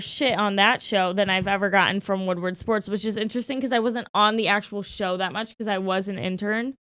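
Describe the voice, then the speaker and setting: A woman's medium-pitched, bright, sharp and animated voice with hardly any pauses, on a very clean recording with a silent background. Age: 20s. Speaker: sports media producer and on-air talent. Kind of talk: casual chat.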